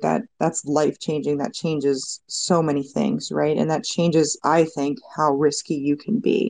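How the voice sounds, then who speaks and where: The tone is dark and mellow, with vocal fry. The pace is fairly slow. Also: woman. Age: 30s. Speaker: personal finance podcaster and real estate investor. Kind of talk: casual panel discussion. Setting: Twitter Spaces live audio room.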